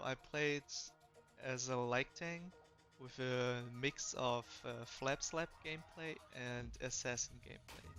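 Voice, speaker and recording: With music playing in the background, a man of medium pitch speaks at a very slow pace with fairly even intonation. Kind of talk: game review voiceover. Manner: monotone.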